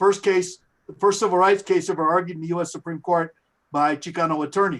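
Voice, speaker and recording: On a very clean recording with a silent background, a man with a high pitch speaks at a fairly quick pace with fairly even intonation. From New Mexico. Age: 70s. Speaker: professor, award recipient. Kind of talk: acceptance speech. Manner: halting, many fillers.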